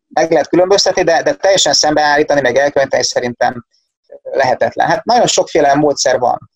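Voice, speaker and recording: Talking at a very fast pace with very even loudness, a man is heard in a dry, close sound with no echo. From Hungary, Szeged. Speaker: economist, university lecturer. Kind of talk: casual interview.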